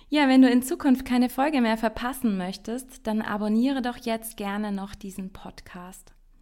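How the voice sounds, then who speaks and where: Speaking at a moderate pace with hardly any pauses, a woman with a fairly high, dark, mellow voice shows ordinary pitch variation. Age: 30s. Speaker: podcast host. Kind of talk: solo podcast monologue.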